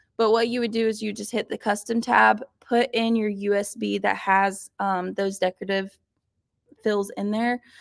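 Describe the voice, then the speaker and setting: A woman talks at a moderate pace, her pitch medium and its variation ordinary. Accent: Southern US. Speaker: sewing machine instructor. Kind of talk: live online class tutorial. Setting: livestream broadcast.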